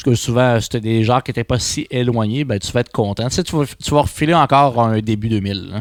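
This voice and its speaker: A man with a Quebec accent talks at a very fast pace with hardly any pauses, medium pitch and ordinary pitch variation, in a very clean, dry, close recording with no echo and a silent background. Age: 30s. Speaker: music podcast co-host. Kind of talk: casual chat. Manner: loud. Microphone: too close to the mic, harsh.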